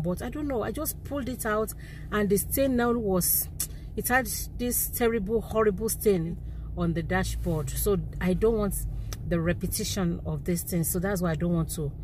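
The speech moves at a moderate pace, with a dry, echo-free sound and noticeable background noise. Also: woman. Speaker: vlogger. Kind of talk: casual vlog chat. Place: car. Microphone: phone near.

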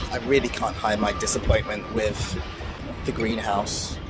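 Music behind a man talking at a moderate pace. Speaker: balcony gardener vlogger. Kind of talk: casual vlog chat. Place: garden. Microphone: phone near.

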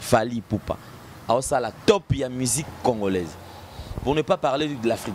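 A man with medium pitch at a fairly slow pace, with noticeable background noise. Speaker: video channel host. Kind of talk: casual chat.

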